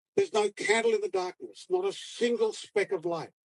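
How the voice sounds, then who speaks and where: The sound is dry and close, with no echo. A man with an Australian accent speaks at a fairly slow pace with ordinary pitch variation. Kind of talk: poetry reading. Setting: outdoors.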